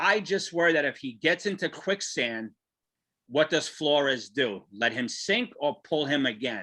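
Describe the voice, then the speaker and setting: In a New York accent, a man speaks fairly slowly at a fairly high pitch, his bright, sharp tone swinging very widely in pitch. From New Jersey (Garfield). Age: 50s. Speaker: sports podcast host. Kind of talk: casual chat.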